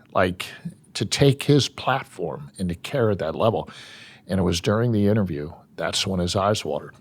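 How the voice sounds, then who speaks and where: Here is a man with a normal speaking voice and a fairly low pitch. His intonation is lively, and his pace is moderate. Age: 60s. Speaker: sports team executive. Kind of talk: interview. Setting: ice rink venue.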